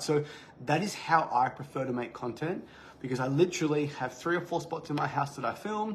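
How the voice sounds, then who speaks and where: Somewhat breathy, a man talks at a fairly high pitch with ordinary pitch variation. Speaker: fitness business coach. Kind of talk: live training talk. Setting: livestream. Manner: fast, occasional stutter; casual, unscripted.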